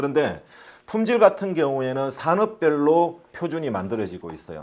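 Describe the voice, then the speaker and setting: Speaking at a fairly quick pace, a man with a fairly high pitch and vocal fry makes very wide pitch swings. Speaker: safety management consultant. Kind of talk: lecture. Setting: online lecture (recorded remotely). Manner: says own pronunciation is not clear.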